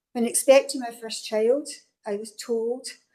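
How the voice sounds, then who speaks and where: Her dark, mellow tone comes with a Scottish accent, as the woman keeps a moderate pace and fairly even intonation. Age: 60s. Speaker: local councillor. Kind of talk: council meeting speech. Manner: formal.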